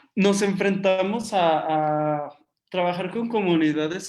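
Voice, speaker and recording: This man's pitch is high, and his intonation stays fairly even. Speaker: artist and community art workshop leader. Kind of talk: online workshop Q&A and closing. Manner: many filler words, halting.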